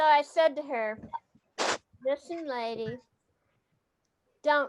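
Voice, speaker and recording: Long, frequent pauses and big swings in loudness mark a woman's speech, and her pitch varies in an ordinary way. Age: old. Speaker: comedian. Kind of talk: stand-up.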